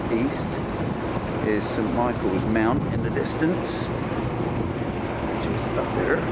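A man speaks while loud background noise fills the clip. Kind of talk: casual travel narration. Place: boat. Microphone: phone near.

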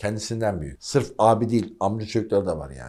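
A man speaks in an animated tone. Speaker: history presenter and author. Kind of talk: history monologue for video. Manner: animated, emphatic.

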